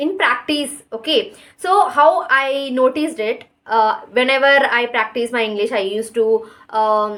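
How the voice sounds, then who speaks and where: A woman speaks at a fairly slow pace in a high pitch, with very wide pitch swings. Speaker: English-speaking YouTuber. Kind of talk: casual monologue to camera. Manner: hesitant, many fillers.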